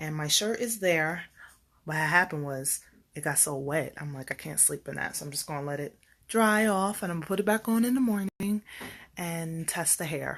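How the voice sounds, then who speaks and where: A woman with an unremarkable speaking voice and a fairly low pitch talks at a moderate pace with lively intonation, in a very clean recording with a silent background. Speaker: beauty vlogger. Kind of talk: casual vlog storytime. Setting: at home. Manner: chatty, filler-heavy.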